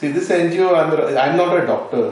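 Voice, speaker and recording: Audible room echo around a man's voice. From Goa, India. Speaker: NGO founder, retired sea captain. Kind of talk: interview. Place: home room.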